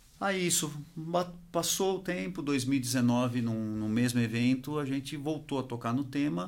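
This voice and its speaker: Lively intonation from a man at medium pitch, with audible room echo. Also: fairly slow pace. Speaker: industry association executive. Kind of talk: interview.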